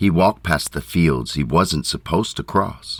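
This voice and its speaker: A man with a very deep, low pitch speaks through vocal fry. His intonation is lively, though his pace is fairly slow. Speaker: narrator. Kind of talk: poetic fairytale narration. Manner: slow, quiet.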